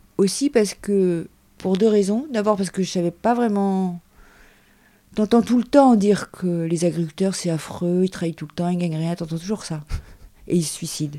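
A woman's dark, mellow voice at a medium pitch comes with long, frequent pauses and big swings in loudness. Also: ordinary pitch variation, moderate pace, very clean recording, silent background. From Paris suburbs, France. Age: 50s. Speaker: shepherdess. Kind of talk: interview. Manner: casual, hesitant.

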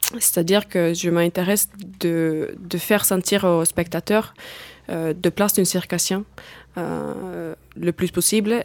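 A woman talks very slowly. Her pitch is fairly low and her intonation fairly even. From Finland. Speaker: circus artist. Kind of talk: studio interview. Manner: hesitant, non-native phrasing.

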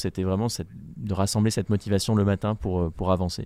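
A man's dark, mellow tone, fairly low in pitch, with fairly even intonation at a moderate pace on a very clean recording with a silent background. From France. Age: 20s. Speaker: polar explorer. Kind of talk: interview. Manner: halting.

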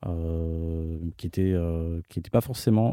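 This man's voice has a dark, mellow tone, recorded very cleanly against a silent background with a dry, close sound and no echo. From France and Morocco. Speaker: film director. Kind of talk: interview. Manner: halting.

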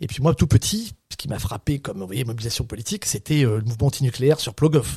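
A man's fairly quick, somewhat breathy voice, dark and mellow, at medium pitch with ordinary variation, in a dry, close sound with no echo on a very clean recording with a silent background. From Brittany, France (Saint-Brieuc). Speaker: professor and researcher. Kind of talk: interview.

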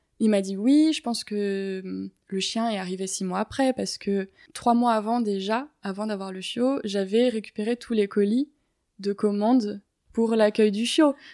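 On a very clean recording with a silent background, a woman speaks with a dry, close sound and no echo. Her pitch is fairly high, her intonation fairly even and her pace fairly slow. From Paris, France. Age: 20s. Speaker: ecology student and dog owner. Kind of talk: interview. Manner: hesitant, with many fillers.

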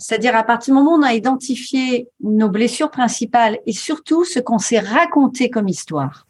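In a normal speaking voice, a woman talks at a fairly quick pace with a fairly high pitch. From rural France. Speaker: coach and author. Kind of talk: interview.

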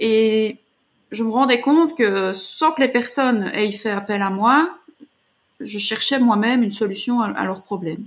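An ordinary speaking voice, at a fairly slow pace with ordinary pitch variation. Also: woman, fairly high pitch for a woman. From Belgium. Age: 40s. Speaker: artist and artist coach. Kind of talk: interview.

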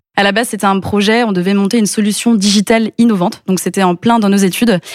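A very fast, medium-pitched female voice with fairly even intonation. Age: 20s. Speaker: entrepreneur. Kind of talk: interview.

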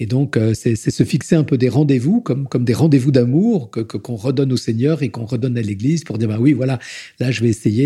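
A man with a medium pitch speaks in a dark, mellow tone that is somewhat breathy. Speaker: deacon. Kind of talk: testimony. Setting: at home in his Paris flat. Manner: voluble; halting, repeats words.

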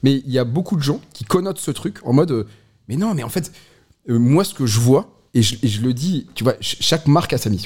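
A man talks at a fairly high pitch. His voice is somewhat breathy. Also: lively intonation, moderate pace. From northern France, Lille. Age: 30s. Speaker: brewery co-founder. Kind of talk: casual chat.

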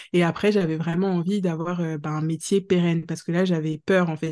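In a quiet background, a woman speaks at a moderate pace with a fairly low pitch, fairly even intonation, and a dark, mellow tone. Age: 30s. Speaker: career changer, mother of two. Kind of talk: podcast interview testimony. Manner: casual with frequent hesitations.

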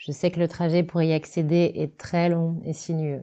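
Her pitch very deep and low, a woman talks at a fairly slow pace. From France, Loiret / Sologne. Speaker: decorator and set designer. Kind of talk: reading aloud.

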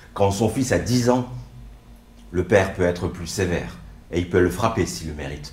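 A man with ordinary pitch variation talks at a moderate pace, and audible room echo surrounds him. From France, arrived from Morocco at age 4. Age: 40s. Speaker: stage performer. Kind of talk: autobiographical stage monologue.

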